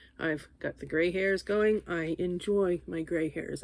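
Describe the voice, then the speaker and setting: Here a woman talks. The background is silent and the recording very clean. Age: 60s. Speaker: vlogger. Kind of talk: casual chat.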